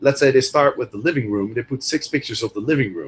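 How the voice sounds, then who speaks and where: Somewhat breathy and fairly quick, a man with a Dutch accent speaks at a medium pitch with ordinary pitch variation. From Netherlands. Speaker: Airbnb host and coach. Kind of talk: interview. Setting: video call.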